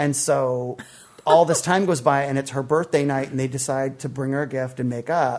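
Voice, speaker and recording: Here a man with a fairly high pitch talks at a moderate pace. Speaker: comedian and podcast co-host. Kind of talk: casual banter in a movie discussion. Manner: joking, bawdy, animated.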